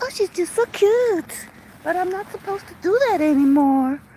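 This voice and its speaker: A woman speaks with a Glaswegian accent at a moderate pace. Noticeable background noise runs under her voice. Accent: Glaswegian Scottish. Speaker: dog trainer. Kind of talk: vlog monologue. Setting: outdoors. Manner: casual, sweary.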